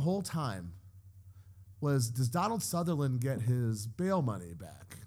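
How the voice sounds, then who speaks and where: A somewhat breathy man with an animated tone and very wide pitch swings. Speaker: podcast co-host. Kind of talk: casual chat. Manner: animated, joking.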